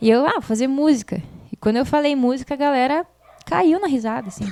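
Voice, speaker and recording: A woman's voice has a dark, mellow tone and lively intonation. The sound is dry and close, with no echo. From southern Brazil, Passo Fundo (Rio Grande do Sul). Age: 30s. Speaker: singer and music school owner. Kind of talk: interview.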